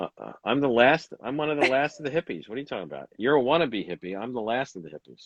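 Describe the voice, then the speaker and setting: A man speaks very fast in a medium pitch, with vocal fry and lively intonation. His loudness swings a lot. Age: 60s. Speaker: Pilates instructor and manual therapist. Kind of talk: casual interview chat. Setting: online livestream. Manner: hesitant, filler-heavy.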